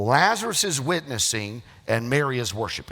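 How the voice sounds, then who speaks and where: An American accent from a man. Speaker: pastor. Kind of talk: sermon preaching to a congregation.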